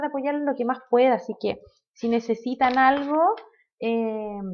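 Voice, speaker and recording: A fairly slow-paced woman's voice, its pitch varying in an ordinary way. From Chile, Maule region (Molina). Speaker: accounting instructor. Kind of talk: online lecture. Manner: many filler hesitations.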